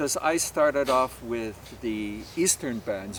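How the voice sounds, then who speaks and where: Over noticeable background noise, a man talks at a fairly slow pace. He has a medium pitch and a Canadian accent. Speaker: polka bandleader. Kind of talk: casual interview.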